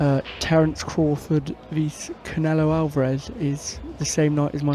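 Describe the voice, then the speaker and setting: A man at a fairly high pitch and moderate pace, with noticeable background noise. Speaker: pool commentator, player. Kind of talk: live commentary. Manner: casual, chatty.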